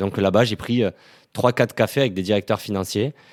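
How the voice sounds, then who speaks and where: A man speaks in a plain, everyday voice at a fairly low pitch with ordinary pitch variation. The recording is very clean, with a silent background. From southern France, Toulouse. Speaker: startup employee. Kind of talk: podcast interview testimony. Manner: casual, many fillers.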